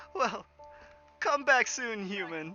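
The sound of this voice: Cackling in a put-on character voice at a fairly high pitch, the speaker is backed by faint music.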